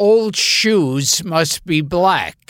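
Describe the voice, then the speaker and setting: A raspy, middle-pitched put-on character voice. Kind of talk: plain, unaccented delivery of the line as written.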